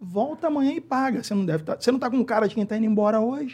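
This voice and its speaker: This man has a high-pitched voice. He speaks at a fairly quick pace. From Rio de Janeiro, Brazil. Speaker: podcast host. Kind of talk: casual interview chat.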